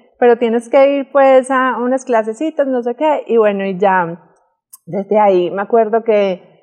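A woman with a fairly high voice speaks at a fairly slow pace with ordinary pitch variation. The background is quiet. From Medellín, Colombia. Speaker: model; interview guest. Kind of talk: interview. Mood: relaxed, storytelling. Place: studio.

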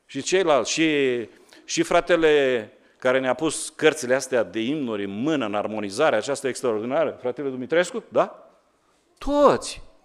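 Ordinary pitch variation from a man, moderate in pace, the background quiet. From Romania. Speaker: pastor. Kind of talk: sermon. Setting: church. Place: church. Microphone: podium.

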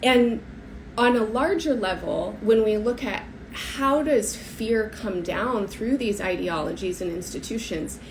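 Against light background noise, a woman with an American accent speaks fairly slowly in a fairly high pitch with lively intonation. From United States. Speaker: astrologer. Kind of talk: solo talk to camera. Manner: hesitant, many fillers. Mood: earnest, thoughtful. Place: home room. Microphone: phone near.

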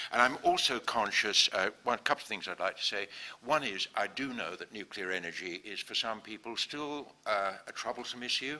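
A bright, sharp tone at a fairly quick pace with ordinary pitch variation. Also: man, medium pitch for a man. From England. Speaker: engineer and company chairman; guest. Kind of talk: public talk. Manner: hesitant, with many fillers. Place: classroom. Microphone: handheld.

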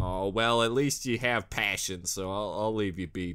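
The tone is bright and sharp, moving at a moderate pace with ordinary pitch variation. The background is quiet. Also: man. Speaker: reaction video host. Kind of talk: casual reaction commentary. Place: home room. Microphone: studio mic.

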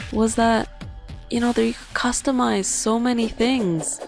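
With music in the background, a woman's pitch swings very widely as she talks. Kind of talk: casual let's play commentary. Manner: slow, subdued.

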